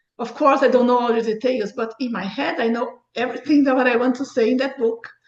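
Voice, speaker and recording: A woman's high voice with a non-native accent, very fast and flat in a monotone. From Brazil. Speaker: author and book review site founder. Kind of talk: interview.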